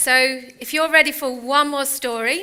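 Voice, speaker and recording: A woman talks at a moderate pace in a British accent. Her tone is bright and sharp, and her intonation fairly even. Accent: UK. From United Kingdom. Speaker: motivational speaker. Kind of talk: inspirational talk. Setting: stage with audience.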